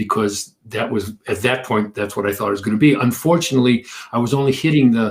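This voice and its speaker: A man's somewhat breathy voice with an American accent, medium in pitch, with fairly even intonation. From US Midwest, suburban Detroit, Michigan. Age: 70s. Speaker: energy healer and author. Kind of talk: interview. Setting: livestream.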